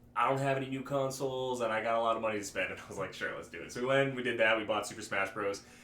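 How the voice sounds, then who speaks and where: A man talks at a very fast pace in a medium-pitched voice, with audible echo from the room. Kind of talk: casual chat. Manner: halting, many false starts.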